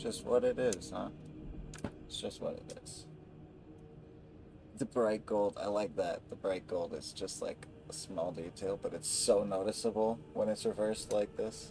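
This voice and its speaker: This soft-spoken man keeps a moderate pace, his loudness swinging widely. He leaves long, frequent pauses. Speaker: gaming streamer. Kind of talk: casual gameplay commentary.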